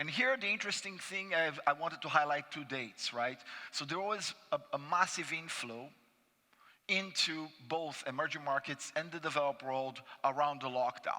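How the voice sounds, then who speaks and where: A man's bright, sharp voice, fairly high in pitch, with a Brazilian accent, ordinary pitch variation and a moderate pace. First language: Portuguese. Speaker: panelist, investment analyst. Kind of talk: conference panel presentation. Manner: frequent fillers and restarts.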